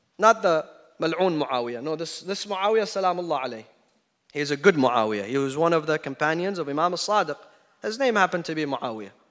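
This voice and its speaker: A man speaks in a fairly high pitch with lively intonation and an animated tone. His pace is fairly quick. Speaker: Shia preacher. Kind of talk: sermon. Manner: animated, emphatic.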